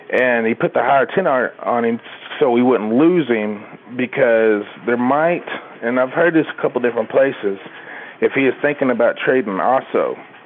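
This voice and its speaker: A man speaks at a medium pitch with long, frequent pauses. Noticeable background noise runs behind him. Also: ordinary pitch variation, moderate pace, very even loudness. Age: 30s. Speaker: caller to a fan podcast. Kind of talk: casual phone-in chat.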